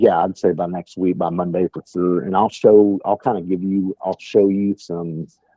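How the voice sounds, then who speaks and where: With a strong West Texas accent, a man talks in a very deep, low pitch and monotone, flat intonation. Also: moderate pace, hardly any pauses. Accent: thick West Texas. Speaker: sales trainer. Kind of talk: training call. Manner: casual, filler-heavy.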